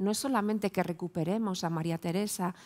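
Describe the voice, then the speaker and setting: Quiet background, a woman at a fairly quick pace with ordinary pitch variation. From Spain, León; Spain. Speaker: professor. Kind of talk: round-table talk. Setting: stage with audience. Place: hall. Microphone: headset.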